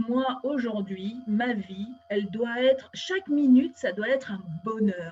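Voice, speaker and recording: A woman talking at a very slow pace, with lively intonation. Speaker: interviewer, show host. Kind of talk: interview host talk.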